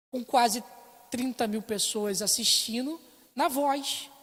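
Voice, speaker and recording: A woman speaks at a very slow pace in a somewhat breathy voice with lively intonation. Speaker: Sunday school teacher. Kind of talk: Bible class lecture. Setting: church, filmed for internet stream.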